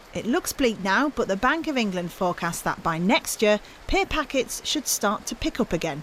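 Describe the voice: A woman's fairly bright voice with big pitch swings. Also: medium pitch for a woman, moderate pace.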